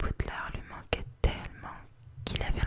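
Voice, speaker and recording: Whispering comes through at a fairly slow pace. Noticeable background noise sits underneath. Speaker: ASMR artist. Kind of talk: read story. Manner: whispered.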